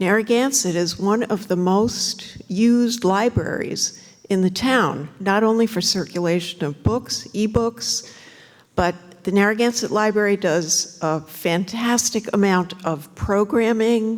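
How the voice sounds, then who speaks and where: Over noticeable background noise, a woman with a medium-pitched voice speaks at a fairly slow pace. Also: ordinary pitch variation. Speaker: librarian speaking at public comment. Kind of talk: public comment at town council meeting.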